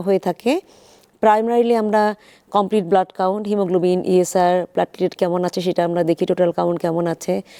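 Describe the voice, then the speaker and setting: Recorded very cleanly with a silent background, a woman with a dark, mellow tone and ordinary pitch variation sounds dry and close with no echo. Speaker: infertility specialist doctor. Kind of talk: expert interview on live TV.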